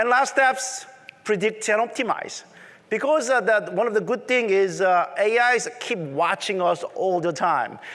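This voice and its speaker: Over noticeable background noise, a man with a strong Korean accent speaks fairly slowly at a high pitch, with ordinary pitch variation and very even loudness. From South Korea. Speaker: tech conference presenter. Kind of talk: conference talk.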